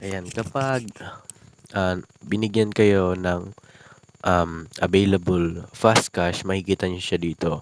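A man speaks at a very slow pace. His pitch is very deep and low, with fairly even intonation. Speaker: YouTube vlogger. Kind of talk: tutorial. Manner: casual with many fillers.

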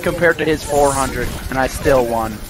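A man speaks against noticeable background noise. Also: dry sound with no echo. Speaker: gamer. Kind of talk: casual gaming chat.

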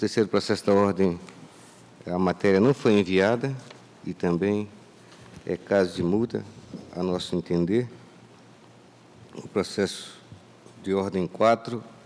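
Speaking at a fairly slow pace with long, frequent pauses, a man keeps a fairly low pitch and fairly even intonation. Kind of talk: formal legal opinion. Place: hall. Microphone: podium.

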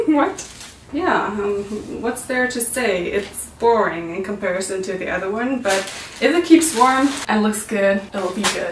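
A woman speaks at a fairly slow pace, with audible room echo and light background noise. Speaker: vlogger. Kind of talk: casual vlog chat. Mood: playful, laughing. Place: home room.

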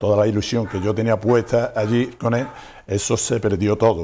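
Here is a man with a dark, mellow tone and fairly low pitch. His intonation stays fairly even. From Andalusia, Sierra de Huelva; Andalusia, Spain. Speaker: restaurant owner; interview guest. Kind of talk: interview. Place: studio. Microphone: lapel.

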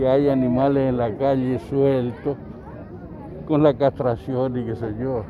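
Amid noticeable background noise, a man speaks at a fairly slow pace and a medium pitch with fairly even intonation, and the sound is dry with no echo. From Argentina. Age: 70s. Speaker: local resident. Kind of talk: street interview. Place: open country. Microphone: handheld.

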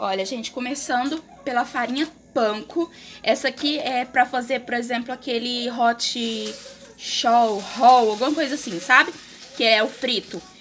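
Light background noise accompanies a woman with a high pitch, ordinary pitch variation and a fairly slow pace. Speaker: home vlogger. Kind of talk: casual vlog chat. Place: kitchen. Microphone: phone near.

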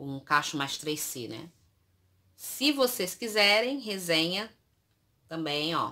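Over a quiet background, a woman with a fairly low pitch and a bright, sharp tone speaks at a very slow pace with long, frequent pauses, very wide pitch swings and big swings in loudness. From Brazil. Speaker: youtuber. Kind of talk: product review vlog. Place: home room. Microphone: phone near.

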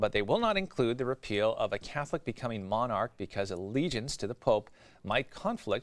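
Against a quiet background, a man with a medium pitch talks at a very fast pace with lively intonation. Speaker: news anchor. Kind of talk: news reading. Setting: studio. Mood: calm formal delivery. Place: studio. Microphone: lapel.

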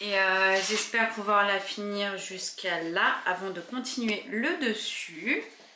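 A woman at a very slow pace, hardly any pauses, and noticeable background noise. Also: ordinary pitch variation. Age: 20s. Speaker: lifestyle vlogger. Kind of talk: home renovation vlog. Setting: at home. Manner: casual, hesitant with frequent fillers. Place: home room. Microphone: phone near.

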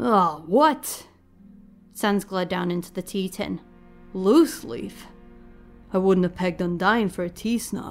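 In a put-on, gravelly character voice at medium pitch, a woman speaks in a calm, soothing tone at a fairly slow pace, with long, frequent pauses and faint music in the background. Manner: calm, soothing, wry.

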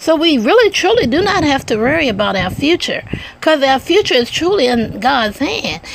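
Over light background noise, a woman with a high voice speaks at a moderate pace in an animated, warm tone with very wide pitch swings. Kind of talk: spoken word poetry and sermon-like devotional reading, with chatty intro. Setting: home video recording, addressing online audience. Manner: animated, warm, playful with laughs; measured, reflective, preacher-like cadence in the poem. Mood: earnest, devotional.

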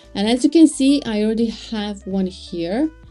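Faint music can be heard behind the speaker. She is a woman talking at a fairly slow pace. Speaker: web design tutor. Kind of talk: tutorial.

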